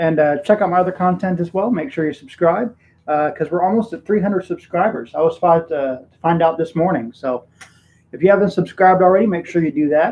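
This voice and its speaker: This man has a Texan accent and a high pitch. He talks at a fairly quick pace with ordinary pitch variation. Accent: Texan American English. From Texas. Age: 30s. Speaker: YouTuber streaming live. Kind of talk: casual live stream chat. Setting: home room, live stream. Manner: casual, halting with many fillers.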